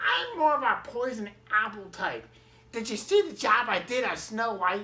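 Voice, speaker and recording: A woman puts on a character voice pitched fairly high and speaks at a moderate pace. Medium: read story. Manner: casual, familiar, calls people honey.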